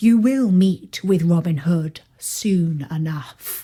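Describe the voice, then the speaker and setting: In a put-on character voice, a woman speaks very slowly at a fairly low pitch, her intonation lively. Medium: read story. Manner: deferential.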